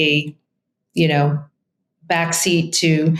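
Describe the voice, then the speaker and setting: A woman speaks in a strong Brooklyn accent. Her pitch sits fairly low. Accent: thick Brooklyn. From New York, Brooklyn. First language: Italian. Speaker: real estate agent. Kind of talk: interview.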